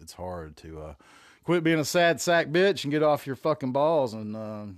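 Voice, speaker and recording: A man speaks in a relaxed tone with a Southern US accent. His pitch swings very widely, and the recording is very clean with a silent background. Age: 40s. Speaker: podcast host. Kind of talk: casual monologue. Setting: home room. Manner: relaxed, rambling.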